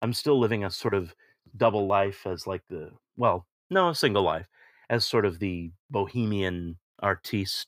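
A plain, everyday voice at a moderate pace with ordinary pitch variation, in a very clean recording with a silent background and a dry, close sound with no echo. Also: man, fairly low pitch for a man. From United States. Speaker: audiobook narrator and actor. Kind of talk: casual interview.

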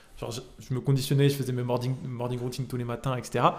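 Speaking at a very fast pace, a man with a medium-pitched voice is heard with audible room echo. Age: 20s. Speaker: entrepreneur. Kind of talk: casual interview. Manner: casual, many fillers.

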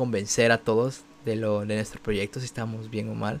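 Male voice, moderate in pace. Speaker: podcast host and youtuber. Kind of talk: casual chat. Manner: neutral Spanish modulation.

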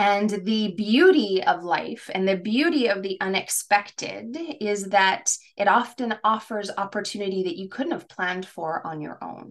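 A woman with a normal speaking voice talks at a moderate pace. Her pitch is medium, with ordinary variation. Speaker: career coach and podcast host. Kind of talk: casual conversational podcast chat.

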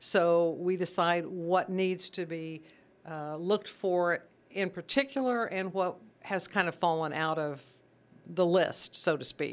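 Over a silent background in a very clean recording, a woman with an American accent and a normal speaking voice talks fairly slowly at a fairly low pitch with ordinary pitch variation. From Missouri (Sedalia). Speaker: charity volunteer chairperson, former teacher. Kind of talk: radio interview. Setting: radio studio.

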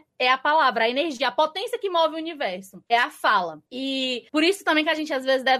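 A woman's high, bright, sharp voice, raised and projected, very fast with hardly any pauses and lively intonation. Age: 20s. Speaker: literature content creator. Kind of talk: casual chat. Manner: loud.

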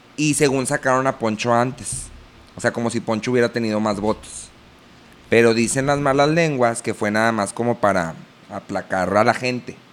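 With a Mexican accent, a man speaks at a moderate pace in a medium pitch, using ordinary pitch variation. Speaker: podcast host, children's entertainer and producer. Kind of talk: casual chat.

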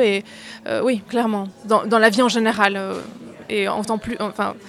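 A woman talks at a moderate pace with fairly high pitch. Her intonation stays monotone and flat. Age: 20s. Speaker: actress and voice-over artist. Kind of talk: interview.

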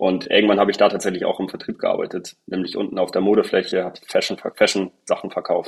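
A man's very fast speech with hardly any pauses. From northern Germany, Husum. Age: 20s. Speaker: sales director. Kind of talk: interview. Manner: hesitant with fillers.

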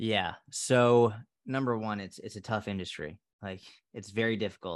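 A man with an American accent and a fairly low pitch talks at a moderate pace with ordinary pitch variation, over a quiet background. It is an unremarkable speaking voice. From Massachusetts (Boston area). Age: 30s. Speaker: fitness coach. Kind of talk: casual interview chat.

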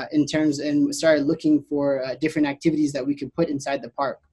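Here a man talks in a monotone, flat way with an American accent. His voice is fairly high, with a dark, mellow tone. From US, Boston, Massachusetts. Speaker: resort operations manager. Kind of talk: interview.

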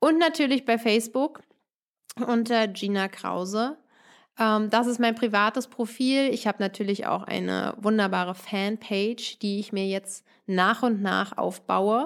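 Delivered at a fairly slow pace, a normal speaking voice moves with ordinary pitch variation over a very clean recording with a silent background. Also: woman, fairly high pitch for a woman. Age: 30s. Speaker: wedding podcast host. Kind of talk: solo podcast monologue.

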